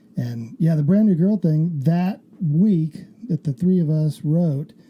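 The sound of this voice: With a slightly husky edge, a man speaks slowly at a fairly high pitch. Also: ordinary pitch variation.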